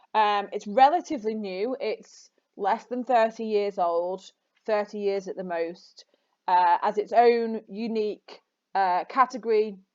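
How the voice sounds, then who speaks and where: A woman speaks at a fairly slow pace in a normal speaking voice, her pitch fairly high with ordinary variation. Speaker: English teacher. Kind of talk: lecture.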